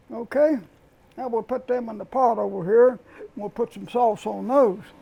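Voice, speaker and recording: Pitched extremely high, a man with an American accent has a dark, mellow tone, ordinary pitch variation and big swings in loudness. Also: moderate pace. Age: 90s. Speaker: home cook and gardener. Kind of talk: casual chat.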